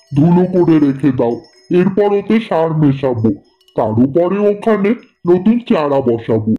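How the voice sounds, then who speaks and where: Over faint background music, a woman puts on a cartoonish character voice, fairly low-pitched and delivered at a fairly slow pace. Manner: rough, growling, threatening.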